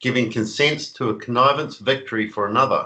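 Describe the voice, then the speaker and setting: A man's bright, sharp voice at a medium pitch, with ordinary pitch variation and a New Zealand accent. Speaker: conspiracy author. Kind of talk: interview. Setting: video call.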